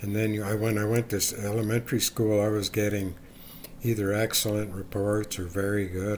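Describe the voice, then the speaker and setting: A man talks at a moderate pace in a fairly low, somewhat breathy voice. His intonation is monotone and flat. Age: 70s. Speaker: YouTuber. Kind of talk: casual monologue. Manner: halting.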